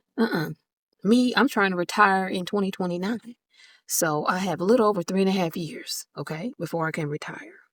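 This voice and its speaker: With an ordinary speaking voice, a woman speaks fairly quickly with ordinary pitch variation, heard in a dry, close sound with no echo on a very clean recording with a silent background. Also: medium pitch for a woman. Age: 50s. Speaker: personal finance vlogger. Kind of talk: casual talk to camera. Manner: casual, conversational.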